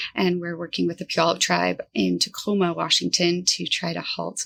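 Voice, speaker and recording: Moving at a moderate pace, a woman speaks with a West Coast US accent. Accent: General American (West Coast). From US West Coast, Northern California Central Valley. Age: 30s. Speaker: environmental advocacy director. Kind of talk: podcast interview.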